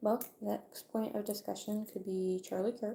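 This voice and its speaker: A woman's quiet, medium-pitched voice, dark and mellow in tone, with fairly even intonation and a very slow pace. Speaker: video creator. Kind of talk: casual livestream monologue. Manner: somewhat quiet.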